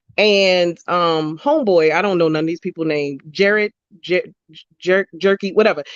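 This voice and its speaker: The speaker talks at a moderate pace with a Baltimore accent. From Baltimore, US. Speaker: podcast co-host. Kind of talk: casual chat.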